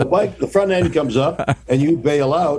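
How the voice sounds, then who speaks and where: A man speaks with a somewhat breathy voice and a dark, mellow tone. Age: 80s+. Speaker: actor. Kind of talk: interview answer.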